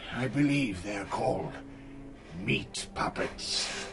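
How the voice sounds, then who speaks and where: A man's put-on character voice at medium pitch and a very slow pace, over clear background noise. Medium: audio drama.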